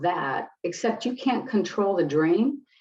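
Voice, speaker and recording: A woman with an American accent and a dark, mellow tone speaks at a very slow pace. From US Midwest, Detroit. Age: 60s. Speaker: clinical psychologist and spiritual teacher. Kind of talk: interview.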